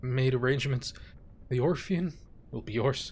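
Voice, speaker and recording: A man puts on a raspy character voice at a medium pitch, speaking at a moderate pace. Clear background noise sits behind him. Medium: game stream.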